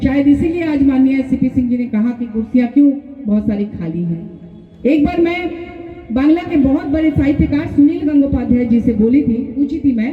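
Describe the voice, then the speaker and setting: Noticeable background noise surrounds a woman speaking at a high pitch with ordinary pitch variation. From Ranchi, Jharkhand, India. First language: Bengali (speaking Hindi). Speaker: writer and politician. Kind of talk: public speech.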